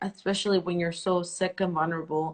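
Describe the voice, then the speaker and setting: A woman's voice with a Spanish accent. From El Salvador. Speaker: interview host. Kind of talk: live interview.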